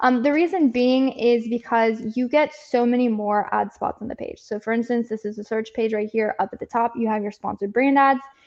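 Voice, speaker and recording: Fairly quick speech with fairly even intonation. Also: woman. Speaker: Amazon advertising agency presenter. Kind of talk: live presentation with screen share. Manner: fast.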